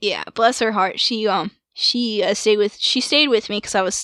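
In a dry, close sound with no echo, a woman with an ordinary speaking voice and a fairly high pitch talks at a moderate pace with fairly even intonation. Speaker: podcast host. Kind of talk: casual chat.

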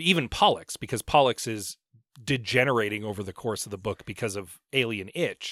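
With a bright, sharp tone, big swings in loudness and ordinary pitch variation, the voice moves at a fairly quick pace on a very clean recording with a silent background and a dry, close sound with no echo. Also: man, medium pitch for a man. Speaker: podcast host. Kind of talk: casual chat.

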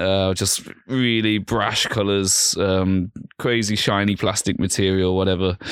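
A man speaks with a fairly low pitch in a flat monotone. His pace is fairly slow and his loudness very even. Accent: Birmingham. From Birmingham, England. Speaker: vintage clothing store manager. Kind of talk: casual chat. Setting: studio.

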